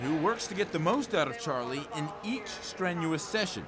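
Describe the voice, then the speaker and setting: Against noticeable background noise, a man talks at a moderate pace with very wide pitch swings. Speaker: sports anchor and reporter. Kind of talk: human-interest feature voiceover. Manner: measured, warm storytelling.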